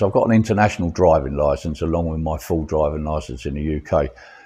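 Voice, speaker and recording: With vocal fry and a dark, mellow tone, a man talks at a very deep, low pitch using fairly even intonation. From London, England. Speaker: vlogger. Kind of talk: casual vlog chat. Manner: halting, many fillers.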